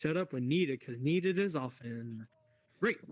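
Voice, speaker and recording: At a moderate pace, a man with medium pitch and ordinary pitch variation speaks in an unremarkable speaking voice. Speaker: discussion group host in VR. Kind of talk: moderated group discussion. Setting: VR social space. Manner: casual, with many fillers.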